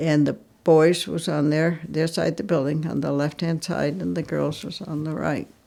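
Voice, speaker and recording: A woman with a New England accent speaks at a very deep, low pitch with vocal fry. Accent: rural New England. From Vermont. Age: 90s. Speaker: interviewee. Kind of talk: reminiscence interview. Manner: halting.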